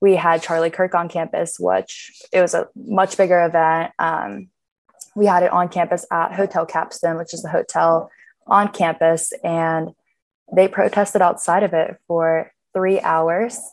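A woman with an American accent speaks fairly slowly in a plain, everyday voice. Her pitch is fairly low and her intonation fairly even. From Pittsburgh, US. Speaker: college student. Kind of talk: interview.

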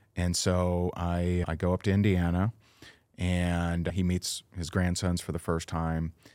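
On a very clean recording with a silent background, a man with an American accent speaks at a fairly slow pace, his pitch very deep and low and his intonation monotone and flat. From Southwest Florida. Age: 40s. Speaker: network marketing coach. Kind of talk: interview. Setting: studio.

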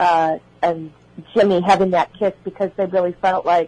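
A woman with a Chicago accent. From Illinois, Chicago area. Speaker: actress. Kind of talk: radio interview.

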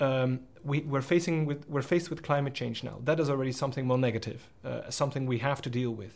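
Hardly pausing at all, a man races along at a very fast pace in a medium-pitched, somewhat breathy voice. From Belgium. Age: 30s. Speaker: member of the European Parliament. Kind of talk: interview.

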